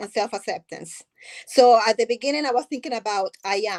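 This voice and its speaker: Dry and close with no echo, a woman's high-pitched voice carries a strong non-native accent, moving at a moderate pace with ordinary pitch variation. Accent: thick foreign. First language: not English. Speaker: nonprofit founder. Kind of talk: interview.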